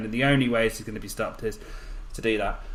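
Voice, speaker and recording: Noticeable background noise sits behind a man with a Birmingham accent. He talks at a very fast pace. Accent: Birmingham (Brummie). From Birmingham, English Midlands. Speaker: podcast host. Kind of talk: casual chat. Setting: audio-only podcast recording. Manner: hesitant, many fillers.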